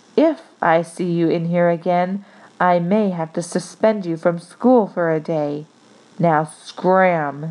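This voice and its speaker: A put-on character voice, hissing, fairly slow and with fairly even intonation. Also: woman, fairly low pitch for a woman. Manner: hissing through gritted teeth, stern.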